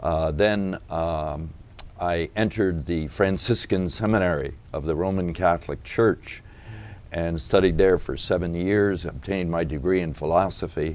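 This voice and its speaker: With an American accent, this man speaks at a very deep, low pitch with ordinary pitch variation. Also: moderate pace. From New England, US (Massachusetts). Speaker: deacon and author. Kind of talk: interview.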